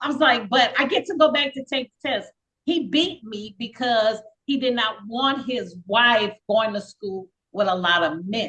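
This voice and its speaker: Using lively intonation, a woman with a bright, sharp tone and fairly high pitch speaks at a fairly slow pace. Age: 60s. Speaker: guest sharing life story. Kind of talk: testimony.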